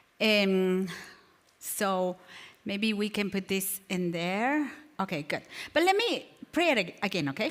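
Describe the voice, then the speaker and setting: In a non-native accent, a woman with a medium pitch and lively intonation speaks at a fairly slow pace, leaving long, frequent pauses. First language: not English. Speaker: natural remedies teacher. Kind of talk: health class lecture. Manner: halting.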